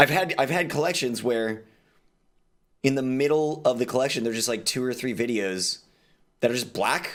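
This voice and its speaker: A man speaks with an American accent in a plain, everyday voice. His medium-pitched delivery moves at a fairly quick pace over a very clean recording with a silent background. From Texas. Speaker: streamer. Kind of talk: casual chat.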